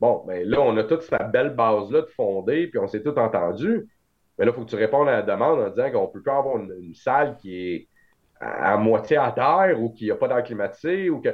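Pitch swings very widely as a man at medium pitch talks at a fairly quick pace. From Quebec, Montreal. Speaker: trading card show organizer. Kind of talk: casual chat.

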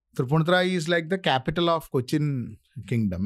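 In a Keralan accent, a man talks at a fairly quick pace with very wide pitch swings. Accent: Indian English, Malayali. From India, Kerala. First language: Malayalam. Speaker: author and scriptwriter. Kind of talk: casual interview. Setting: studio.

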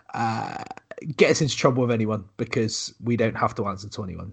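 A man with a West Country accent and a slightly husky edge.

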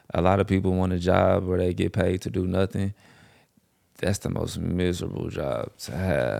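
There is vocal fry in this man's very deep, low voice, which has a dark, mellow tone, a moderate pace and ordinary pitch variation. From St. Louis, Missouri. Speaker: host's childhood friend. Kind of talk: casual chat.

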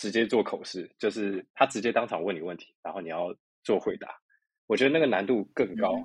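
An ordinary speaking voice from a man, fairly low in pitch with ordinary pitch variation, at a fairly quick pace with big swings in loudness. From Taiwan. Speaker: doctoral student. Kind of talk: interview.

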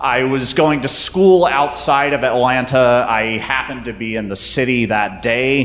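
A man with an American accent talks at medium pitch and a fairly slow pace, barely pausing. Noticeable background noise runs under him. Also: ordinary pitch variation. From US South, North Carolina. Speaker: storyteller. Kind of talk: live storytelling on stage. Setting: stage with audience.

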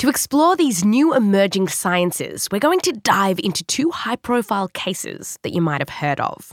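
A woman with an Australian accent speaks at a medium pitch, her pitch swinging very widely. She keeps a moderate pace with hardly any pauses, and the sound is dry and close with no echo. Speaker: podcast host. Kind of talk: scripted narration with interviews.

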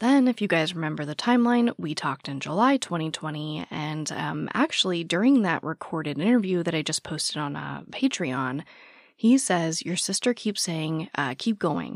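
A woman's fairly low voice with vocal fry and very wide pitch swings at a moderate pace, in a very clean recording with a silent background and a dry, close sound with no echo. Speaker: true crime podcast host. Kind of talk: true crime narration; casual chat.

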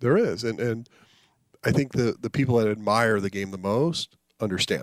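In an American accent, a man with an unremarkable speaking voice talks at medium pitch and a moderate pace, with ordinary pitch variation and big swings in loudness. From US, New Jersey then Colorado. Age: 50s. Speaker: baseball executive. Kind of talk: interview.

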